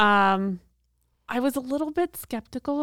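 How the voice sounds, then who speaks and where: Dry and close with no echo, this very clean recording with a silent background holds a woman's unremarkable speaking voice, with lively intonation at a moderate pace. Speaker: downtown main street director. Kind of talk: interview.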